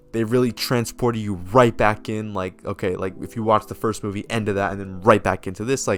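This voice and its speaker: With music behind him, a man talks in a fairly low pitch. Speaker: movie reviewer. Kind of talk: casual video review monologue. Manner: hesitant, many fillers and repetitions.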